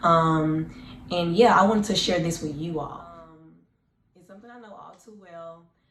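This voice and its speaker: Audible room echo surrounds a woman speaking at a moderate pace and fairly low pitch with ordinary pitch variation. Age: 20s. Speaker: vlogger. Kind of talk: personal testimony vlog. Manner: casual, hesitant with fillers.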